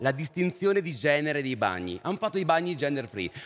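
This is a normal speaking voice at a fairly quick pace. The intonation is lively. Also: man. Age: 30s. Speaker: panel moderator, philosopher. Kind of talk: moderated panel discussion.

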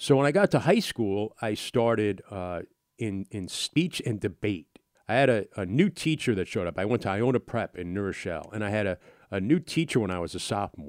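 Here a man speaks in an ordinary speaking voice with a fairly low pitch and lively intonation. The recording is very clean, its background silent. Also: fairly quick pace. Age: 50s. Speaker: sports play-by-play broadcaster and podcast host. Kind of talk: casual solo podcast monologue answering listener questions.

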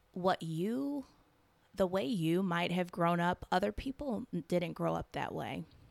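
A woman's ordinary speaking voice with an American accent, fairly low in pitch and at a fairly slow pace, in a very clean recording with a silent background and a dry, close sound with no echo. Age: 20s. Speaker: podcast host and holistic health coach. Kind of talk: personal storytelling monologue.

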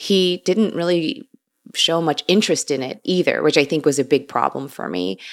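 This woman has a fairly low pitch and some vocal fry. Her intonation is lively at a moderate pace, and the recording is very clean with a silent background. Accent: American. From US Midwest, Chicago. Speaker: vegan food writer and podcaster. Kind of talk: casual interview chat.

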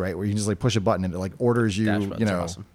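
The voice belongs to a man. He speaks with an American accent. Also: very clean recording, silent background. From New Hampshire, New England. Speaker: tech product lead. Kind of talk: interview.

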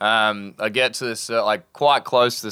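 A man speaks in an Australian accent with a bright, sharp tone. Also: very clean recording, silent background. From north of Cairns, Queensland, Australia. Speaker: sailing charter captain. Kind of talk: casual interview with storytelling. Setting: on an anchored sailboat, live in front of crew.

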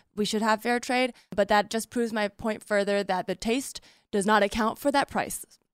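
At a moderate pace, a woman with an ordinary speaking voice and fairly high pitch talks with fairly even intonation in a dry, close sound with no echo. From San Francisco Bay Area, California. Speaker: stand-up comedian and podcaster. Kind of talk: casual comedic debate.

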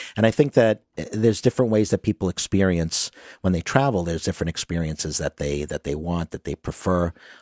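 A man talks very fast in a very deep, low voice with a Brooklyn accent and ordinary pitch variation. The sound is dry and close with no echo, on a very clean recording with a silent background. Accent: New York (Brooklyn). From Brooklyn, New York. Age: 50s. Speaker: tour business owner. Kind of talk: interview.

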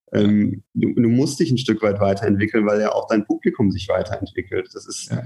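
A man talking at a fairly quick pace with hardly any pauses. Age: 20s. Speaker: brand manager. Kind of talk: casual interview.

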